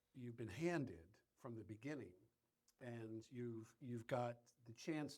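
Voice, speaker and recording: Medium-pitched man with an American accent, ordinary pitch variation and a fairly slow pace. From US, Philadelphia. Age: 60s. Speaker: powerlifter. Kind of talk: casual interview. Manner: halting, repetitive.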